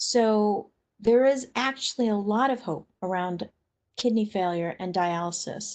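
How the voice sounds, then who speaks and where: Against a quiet background, a woman talks at a fairly slow pace in an unremarkable speaking voice. Her pitch sits fairly high and varies in an ordinary way. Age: 60s. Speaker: webinar presenter on kidney disease. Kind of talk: educational webinar presentation.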